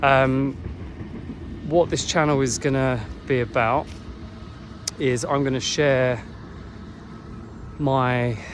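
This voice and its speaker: A man with an English accent speaks at a very slow pace and medium pitch in a monotone, flat intonation, with long, frequent pauses, audible room echo and noticeable background noise. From England. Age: 40s. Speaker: online business vlogger. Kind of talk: casual talk to camera. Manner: hesitant, with fillers.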